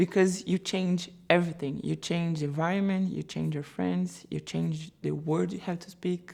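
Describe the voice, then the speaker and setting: A woman speaks with a Brazilian Portuguese accent in a dark, mellow, fairly low voice. The recording is very clean, with a silent background. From Brazil, Sao Paulo. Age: 30s. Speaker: photographer, immigrant interviewee. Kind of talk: interview testimony.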